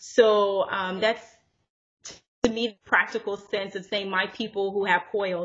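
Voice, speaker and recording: Using an ordinary speaking voice, a woman talks at medium pitch and moderate pace with fairly even intonation. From US (born in Zimbabwe, left at five). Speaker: entrepreneur, natural hair brand owner. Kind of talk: casual interview.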